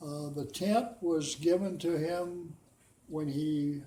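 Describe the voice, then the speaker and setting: A man with an American accent talks at a very slow pace, his pitch fairly high with ordinary variation. His tone is dark and mellow, somewhat breathy, and audible room echo surrounds him. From US Pacific Northwest, Washington. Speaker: war veteran. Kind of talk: oral history interview. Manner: halting.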